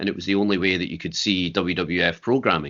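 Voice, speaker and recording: In a Scottish accent, a man talks with fairly even intonation. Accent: Scottish (Fife). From Scotland, Fife. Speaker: wrestler and promoter. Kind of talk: interview.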